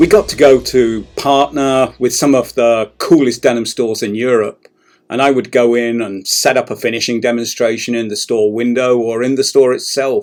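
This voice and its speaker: A man with an English accent talks at a moderate pace, barely pausing at all. His medium-pitched voice keeps a fairly even intonation. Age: 60s. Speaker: denim industry executive. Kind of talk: documentary narration.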